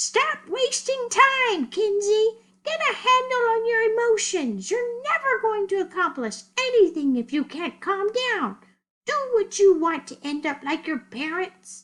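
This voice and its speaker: In a put-on character voice, a female-sounding speaker talks at a moderate pace with an extremely high pitch and very wide pitch swings. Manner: scolding.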